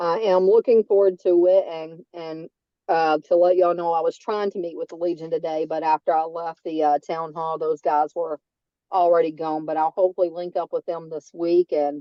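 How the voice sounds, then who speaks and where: A woman with a strong Southern US accent talks at a moderate pace. Her pitch is fairly low and her intonation monotone and flat. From North Carolina. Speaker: veterans' agent, army veteran. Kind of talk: public meeting remarks. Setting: video call.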